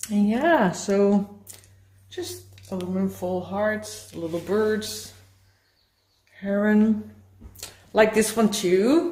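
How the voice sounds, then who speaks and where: In a Dutch accent, the speaker goes at a very slow pace with long, frequent pauses, a dark, mellow and somewhat breathy tone, and lively intonation, with room echo audible. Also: woman, medium pitch for a woman. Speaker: mixed media artist. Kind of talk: show-and-tell tour of artworks. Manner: halting.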